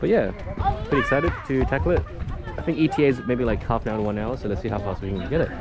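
A man talks at a very fast pace, and the sound is dry with no echo. Clear music plays behind him. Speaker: travel vlogger. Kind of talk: casual vlog chat. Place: open country. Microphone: phone near.

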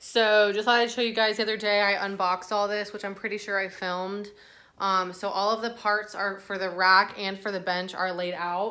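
A woman talks at a moderate pace in a bright, sharp tone. Her intonation is monotone and flat. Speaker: lifestyle vlogger. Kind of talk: casual vlog chat. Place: home room. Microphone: phone near.

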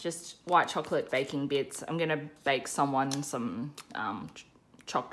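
A woman speaks with a very deep, low pitch. Light background noise runs underneath. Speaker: budget vlogger. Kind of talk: casual vlog chat. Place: home room.

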